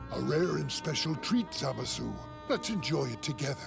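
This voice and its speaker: With loud music in the background, a man does a put-on character voice at a moderate pace. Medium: fan dub. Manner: gentle, genial.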